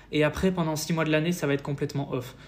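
Using an ordinary speaking voice, a man talks at a fairly quick pace with fairly even intonation. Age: 20s. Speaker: fitness youtuber. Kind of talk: interview.

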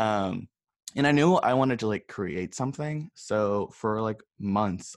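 A man talks with an American accent and ordinary pitch variation. The sound is dry and close with no echo, over a quiet background. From Northern California. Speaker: cosmetics brand owner. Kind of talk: casual interview.

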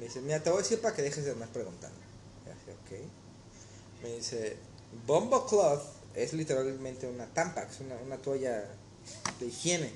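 A man speaks at a fairly quick clip with long, frequent pauses and big swings in loudness, with room echo clearly audible. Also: medium pitch for a man, lively intonation. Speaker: cook and waiter. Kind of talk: casual chat.

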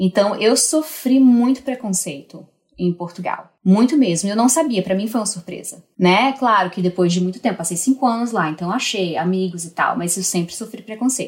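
The voice is somewhat breathy, with lively intonation. It moves at a moderate pace with hardly any pauses. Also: woman, medium pitch for a woman. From Brazil, Northeast (Natal, Rio Grande do Norte). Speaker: newborn care specialist. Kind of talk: casual interview.

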